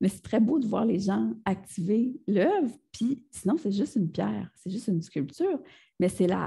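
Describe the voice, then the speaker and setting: In a Quebec accent, the speaker uses lively intonation at a moderate pace, with a dark, mellow tone and vocal fry. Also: woman. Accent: Québécois French. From Gaspésie, Quebec. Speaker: multidisciplinary artist. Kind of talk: interview answer. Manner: casual, conversational.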